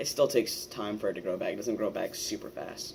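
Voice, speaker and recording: Noticeable background noise fills the clip. Over it, a man speaks at a very fast pace. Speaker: transgender vlogger. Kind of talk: casual vlog monologue. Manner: casual, many fillers.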